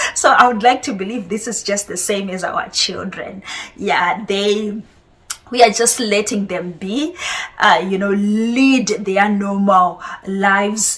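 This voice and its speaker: Amid noticeable background noise, a woman talks at a very slow pace in a medium pitch with ordinary pitch variation. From Zimbabwe, raised in Harare. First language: Shona. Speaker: parent vlogger. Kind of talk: monologue to camera. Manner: hesitant, many fillers.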